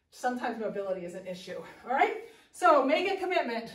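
Speech moves at a fairly quick pace, with audible room echo. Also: woman. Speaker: fitness instructor. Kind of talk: workout instruction. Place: gym. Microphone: camera far.

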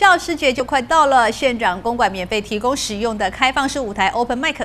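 A woman's fairly high, fairly bright voice with lively intonation.

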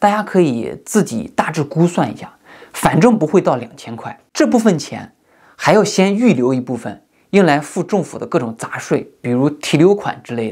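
Against a quiet background, a man talks at a moderate pace. His pitch swings very widely and his loudness rises and falls a lot. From mainland China, rural. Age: 30s. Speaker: YouTuber. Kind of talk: monologue commentary. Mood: earnest, critical. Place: home room.

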